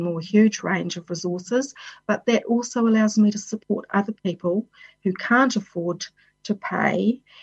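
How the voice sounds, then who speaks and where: A woman's somewhat breathy voice with a New Zealand accent, medium pitch, ordinary pitch variation, and a fairly slow pace. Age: 50s. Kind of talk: personal talk on well-being.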